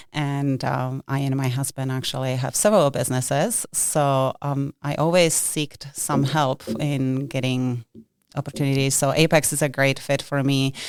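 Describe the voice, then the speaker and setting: A woman's very deep, low voice with a Czech accent, at a moderate pace and with fairly even intonation. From Czech Republic. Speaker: government contracting advisor. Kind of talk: interview podcast. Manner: hesitant, many fillers.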